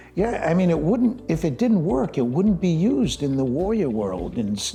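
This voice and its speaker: A fairly high-pitched man at a moderate pace, pitch swinging very widely, over noticeable background noise. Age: 70s. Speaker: breathwork expert. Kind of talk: interview.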